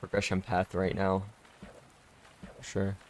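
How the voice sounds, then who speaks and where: A soft-spoken man. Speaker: gaming streamer. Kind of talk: casual chat. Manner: slurred, stumbling speech.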